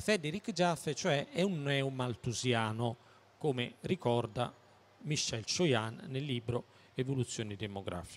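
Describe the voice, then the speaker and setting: A man talks at a fairly slow pace in a somewhat breathy voice. His pitch swings very widely. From Naples, southern Italy; southern Italy. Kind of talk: public talk. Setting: stand at a public fair with audience. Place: hall. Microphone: handheld.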